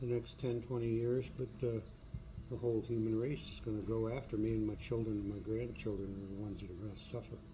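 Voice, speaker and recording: A man's medium-pitched, somewhat breathy voice with a dark, mellow tone, monotone, flat intonation, a very fast pace and audible room echo. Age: 70s. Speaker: video blogger. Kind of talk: personal monologue. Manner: halting, with many fillers.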